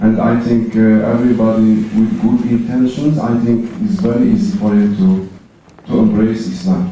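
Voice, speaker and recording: A man's medium-pitched voice at a fairly slow pace with ordinary pitch variation, plus audible room echo and noticeable background noise. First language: not English. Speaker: audience member asking a question. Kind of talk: audience question. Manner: halting.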